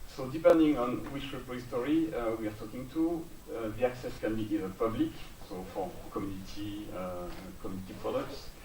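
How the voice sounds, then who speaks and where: A man with a French accent talks at a fairly quick pace. There is noticeable background noise and audible room echo. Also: medium pitch for a man. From France. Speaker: software build engineer. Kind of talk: conference talk. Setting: stage with audience. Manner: hesitant, many fillers.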